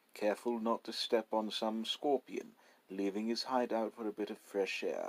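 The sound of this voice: The pitch rises and falls in an ordinary way in this unforced reading voice.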